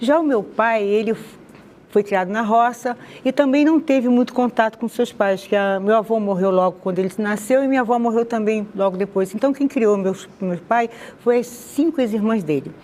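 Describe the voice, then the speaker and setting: A woman's voice shows ordinary pitch variation, with noticeable background noise behind it. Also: fairly high pitch for a woman, moderate pace. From Rio de Janeiro, Madureira. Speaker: interviewee sharing conversion testimony. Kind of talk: testimony interview.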